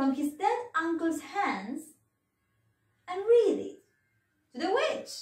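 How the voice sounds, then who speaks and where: Against a quiet background, a woman speaks at an extremely high pitch with audible room echo. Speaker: teacher. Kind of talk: children's storytelling.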